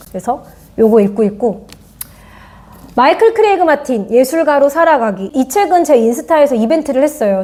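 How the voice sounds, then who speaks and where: At a moderate pace, a woman speaks high-pitched with lively intonation. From Korea, Goyang. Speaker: art educator and YouTuber. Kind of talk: casual vlog talk about art books.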